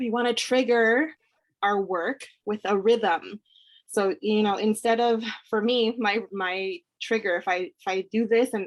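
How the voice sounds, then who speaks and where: The woman's voice shows ordinary pitch variation, recorded with a dry, close sound with no echo. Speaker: business coach hosting a live training. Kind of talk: live online training talk. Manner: fast.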